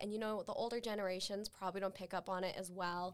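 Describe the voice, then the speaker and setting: A woman's medium-pitched voice, a normal speaking voice, at a fairly quick pace. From Utah. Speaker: university student. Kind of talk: casual chat.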